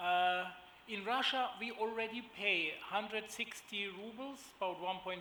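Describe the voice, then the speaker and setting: Speaking in a raised, projected voice, a man with a high pitch talks at a fairly slow pace with ordinary pitch variation. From Germany. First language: German. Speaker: agribusiness executive. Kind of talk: panel presentation. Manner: hesitant, many fillers.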